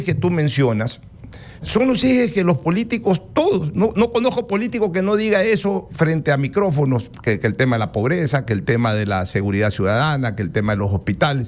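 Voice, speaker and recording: A man at a fairly quick pace with very wide pitch swings, against noticeable background noise. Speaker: radio host. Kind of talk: radio interview.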